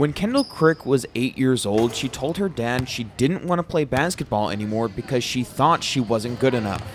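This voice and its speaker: Lively intonation marks this man's speech, delivered at a moderate pace with hardly any pauses. Noticeable background noise is present. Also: medium pitch for a man. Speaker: student broadcast reporter. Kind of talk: TV news package narration.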